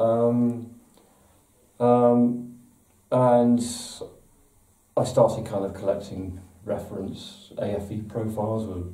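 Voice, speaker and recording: A dark, mellow voice in an English accent, very slow and monotone, with long, frequent pauses and audible room echo. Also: man, medium pitch for a man. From England. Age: 60s. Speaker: model maker and book author. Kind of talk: interview. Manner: hesitant, with repetitions and fillers.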